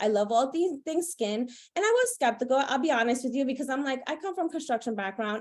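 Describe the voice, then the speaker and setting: A woman talks at a very fast pace. Her high voice shows ordinary pitch variation. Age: 30s. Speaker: network marketer, former electrician and stay-at-home mom. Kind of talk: personal testimony on a recruitment call. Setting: video call. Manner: casual, conversational.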